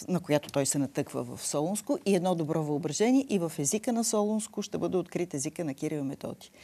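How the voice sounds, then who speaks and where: A woman's fairly low, dark and mellow voice at a fairly quick pace, with lively intonation and hardly any pauses. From Bulgaria. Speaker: linguistics professor. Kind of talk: TV interview. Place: studio.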